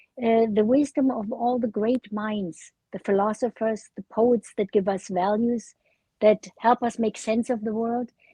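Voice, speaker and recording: A woman talks at a fairly slow pace in a fairly high, somewhat breathy voice. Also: fairly even intonation. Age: 80s+. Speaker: memoir author. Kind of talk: interview. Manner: halting, frequent uh fillers.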